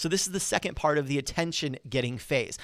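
A man's fairly high, animated voice with lively intonation and a fairly quick pace, on a very clean recording with a silent background. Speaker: podcast host and public speaking coach. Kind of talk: solo podcast tutorial. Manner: fast.

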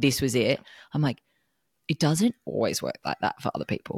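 A fairly quick pace in an Australian accent, in a very clean recording with a silent background. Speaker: podcast co-host. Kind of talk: casual chat.

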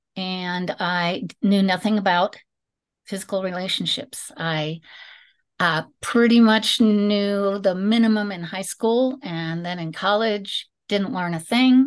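Against a quiet background, a woman speaks in an ordinary speaking voice at medium pitch. Her pace is fairly slow, with ordinary pitch variation. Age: 60s. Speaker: teacher and musician. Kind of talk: personal testimony interview.

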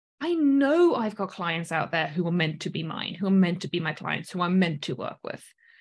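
Lively intonation drives a somewhat breathy voice at a moderate pace with hardly any pauses. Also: woman, fairly low pitch for a woman. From South Africa. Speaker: business coach and online course host. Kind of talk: live-streamed coaching lesson. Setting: live stream with replay. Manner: animated, chatty.

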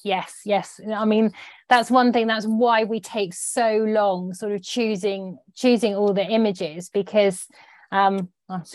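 On a very clean recording with a silent background, a woman with an English accent speaks very slowly at a medium pitch with fairly even intonation. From British countryside. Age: 40s. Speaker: magazine features editor. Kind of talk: interview.

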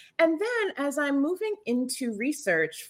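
A plain, everyday voice at a fairly slow pace with lively intonation, in a very clean recording with a silent background. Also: woman. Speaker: podcast host. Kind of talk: interview conversation.

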